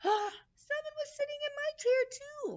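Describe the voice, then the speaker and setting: A woman puts on a squeaky character voice, extremely high in pitch with ordinary variation, at a moderate pace. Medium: read story.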